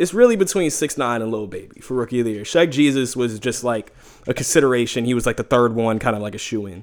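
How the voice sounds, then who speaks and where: Speaking at a very fast pace with a New York accent, this voice shows ordinary pitch variation. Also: man, medium pitch for a man. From New York City (Harlem). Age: 20s. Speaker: podcast guest. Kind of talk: casual chat.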